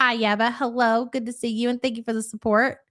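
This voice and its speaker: At a fairly quick pace, a woman with a slight Louisville accent speaks in a high pitch. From Kentucky, Louisville. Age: 40s. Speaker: live-stream reaction host. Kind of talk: live stream chat reading comments. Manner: casual, chatty.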